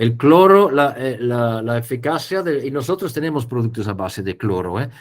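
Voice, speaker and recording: This man speaks with a non-native accent. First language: not Spanish (speaking Spanish). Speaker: poultry biosecurity specialist. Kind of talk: webinar Q&A. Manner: halting.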